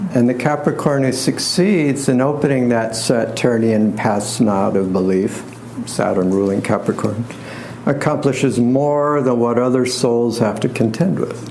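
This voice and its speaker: With audible room echo and noticeable background noise, a man of medium pitch speaks at a fairly slow pace, his pitch varying in an ordinary way and his loudness very even. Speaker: astrologer and tarot reader. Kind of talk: lecture.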